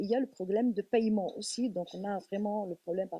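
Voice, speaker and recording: With a dark, mellow tone at medium pitch, a woman talks at a fairly quick pace with ordinary pitch variation, in a dry, close recording with no echo. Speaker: film school director. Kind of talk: panel discussion.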